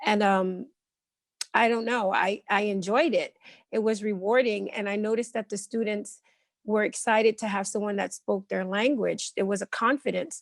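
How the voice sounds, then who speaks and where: Speech in a New Jersey accent, dry and close with no echo. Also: woman, fairly high pitch for a woman, moderate pace. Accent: New Jersey American. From Elizabeth, New Jersey, US. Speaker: ESL teacher. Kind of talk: interview.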